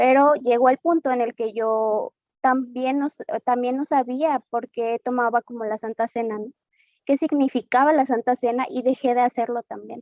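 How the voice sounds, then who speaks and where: A woman with a Mexican accent talks in a high voice with fairly even intonation. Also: moderate pace. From Mexico, Guadalajara, Jalisco. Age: 20s. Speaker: church member giving testimony. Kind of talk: testimony. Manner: hesitant, with frequent fillers.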